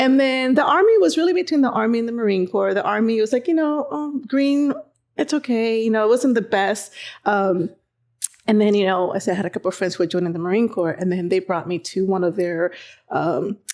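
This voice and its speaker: A woman speaks at a fairly quick pace with a fairly high pitch and very wide pitch swings against a quiet background. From Dominican Republic. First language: Spanish. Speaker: Marine veteran, veterans coordinator. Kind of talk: casual chat. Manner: animated.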